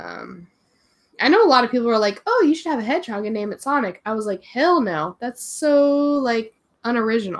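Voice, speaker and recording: High pitch from a woman, swinging very widely up and down. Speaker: English teacher and video creator. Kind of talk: casual livestream chat. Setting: livestream from home. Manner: animated.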